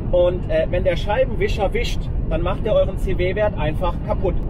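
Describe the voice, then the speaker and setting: A man at a moderate pace, dry and echo-free, against loud background noise. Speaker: car vlogger driving. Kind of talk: explanatory vlog commentary. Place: car.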